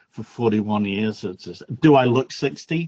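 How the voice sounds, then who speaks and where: A medium-pitched man at a moderate pace, the sound dry and close with no echo. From northern England. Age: 60s. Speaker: workshop attendee. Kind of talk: casual self-introduction in video call.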